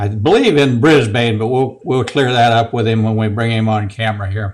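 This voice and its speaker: A man with a slight Southern US accent at a moderate pace. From US South. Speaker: woodworking channel host. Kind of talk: casual video interview.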